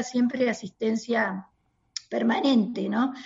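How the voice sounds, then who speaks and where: Speaking in a Rioplatense accent, a woman keeps a moderate pace, her fairly high pitch showing ordinary variation. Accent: Argentine Rioplatense Spanish. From Argentina. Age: 50s. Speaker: pediatrician. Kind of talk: interview. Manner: halting.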